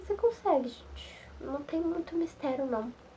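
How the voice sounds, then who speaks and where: A woman talks at a moderate speed with normal pitch movement while noticeable noise sounds in the background. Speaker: nursing technician student. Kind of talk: casual vlog talk to camera. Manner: mumbled, slurred.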